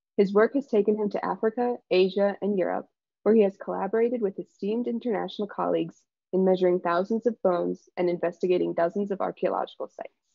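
Against a quiet background, a very fast voice with an Upper Midwest accent keeps a fairly even intonation in a dry sound with no echo. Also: woman. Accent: General American, Upper Midwest. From Michigan, Ann Arbor; Michigan. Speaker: PhD student, presenter; presenter. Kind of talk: scripted introduction. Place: home room. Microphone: video call.

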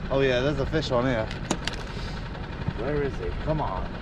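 A man at a moderate pace, dry with no echo, over noticeable background noise. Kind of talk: casual vlog chat. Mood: upbeat, hopeful. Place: boat. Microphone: phone near.

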